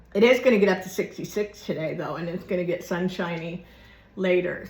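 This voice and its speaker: Somewhat breathy, a woman at a medium pitch speaks with a Southern US accent. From Florida. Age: 60s. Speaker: YouTuber. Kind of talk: casual chat. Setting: at home. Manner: rambling, casual.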